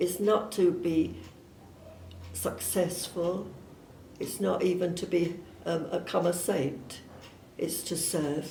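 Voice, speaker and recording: A woman with a southern English accent speaks at a very slow pace with long, frequent pauses, her fairly low voice dark and mellow with vocal fry. Her intonation is fairly even, and the room echo is audible. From southern England (Surrey). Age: 80s+. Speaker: missionary nun. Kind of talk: personal testimony. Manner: hesitant, with fillers.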